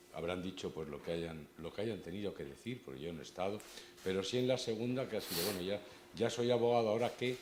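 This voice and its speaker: A man at a very fast pace with lively intonation and audible room echo. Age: 60s. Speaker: lawyers' association board member, event moderator. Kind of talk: introducing a speaker at a conference. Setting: stage with audience. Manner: casual, self-deprecating, hesitant with repetitions.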